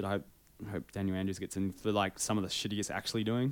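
Speaking at a very fast pace with a New Zealand accent, a man with a fairly low pitch is heard in a very clean recording with a silent background. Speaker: podcast co-host. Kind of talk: casual chat.

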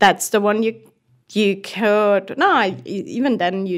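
With a German accent, a woman speaks at a medium pitch with ordinary pitch variation on a very clean recording with a silent background. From southern Germany. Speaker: race engineer. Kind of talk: podcast interview. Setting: studio. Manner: halting.

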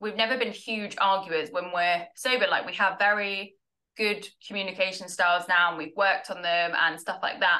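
In a southern English accent, a woman speaks at a moderate pace with fairly even intonation. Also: medium pitch for a woman. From southern England, Tunbridge Wells in Kent. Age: 20s. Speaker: product marketer in recovery from alcohol. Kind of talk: casual interview chat.

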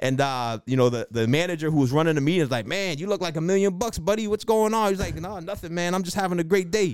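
Talking at a very fast pace with hardly any pauses, a man with a Boston accent uses a high pitch and lively intonation. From Boston, Dorchester. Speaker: real estate investor and loan originator. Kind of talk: interview.

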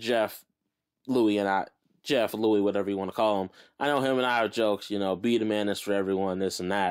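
A man at a fairly low pitch and fairly quick pace, with fairly even intonation, in a very clean recording with a silent background. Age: 30s. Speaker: musician and podcast host. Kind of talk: casual monologue. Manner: casual, off the cuff.

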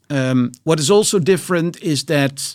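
With a Dutch accent, a man speaks at a moderate pace with lively intonation on a very clean recording with a silent background. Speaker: biotech entrepreneur and investor. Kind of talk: interview. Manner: hesitant, many fillers.

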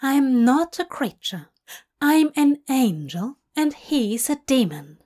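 Putting on a character voice, a woman speaks slowly and high, with big pitch swings and a slightly mellow tone. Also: very clean recording, silent background.

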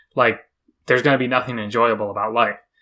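On a very clean recording with a silent background, a man with medium pitch and a bright, sharp tone speaks at a fairly quick pace. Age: 20s. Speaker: podcast co-host, software engineer. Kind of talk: casual chat.

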